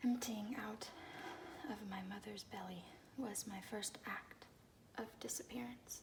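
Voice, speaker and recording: Noticeable background noise sits behind the voice. The speaker is soft-spoken. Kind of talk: soft-spoken ASMR poetry reading. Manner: soft-spoken, calming.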